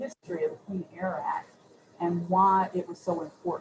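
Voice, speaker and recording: At a medium pitch, a woman talks with noticeable background noise behind her. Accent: Southern US. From US Southeast (Chattanooga, Tennessee). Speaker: city environmental official, panelist. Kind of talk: panel discussion. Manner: hesitant, repeats words.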